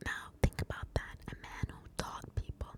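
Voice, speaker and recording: Whispering from a woman, with noticeable background noise. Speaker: ASMR true crime storyteller. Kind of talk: whispered true crime storytelling. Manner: whispered, soft.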